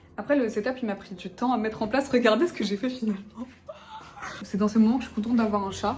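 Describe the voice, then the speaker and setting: A woman's fairly high voice comes through over noticeable background noise. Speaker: lifestyle vlogger. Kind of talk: casual vlog talk to camera. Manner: fast; stumbles over words.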